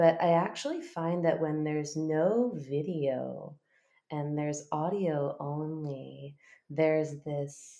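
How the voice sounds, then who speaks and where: A woman with a very deep, low pitch talks at a very slow pace. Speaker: intimacy coach. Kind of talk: interview. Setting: remote call. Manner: intimate.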